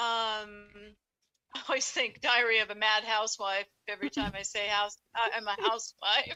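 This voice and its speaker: A plain, everyday voice from a woman, fairly high, at a moderate pace and with fairly even intonation. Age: 60s. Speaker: housewife sharing paranormal experiences. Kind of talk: interview storytelling.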